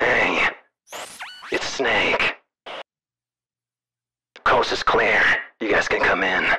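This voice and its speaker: A raspy, put-on character voice goes at a very slow pace over light background noise. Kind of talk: role-play character dialogue.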